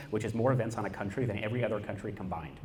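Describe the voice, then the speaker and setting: A man's fairly low voice at a very fast pace, with ordinary pitch variation and audible room echo. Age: 20s. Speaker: activist. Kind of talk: panel talk. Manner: animated.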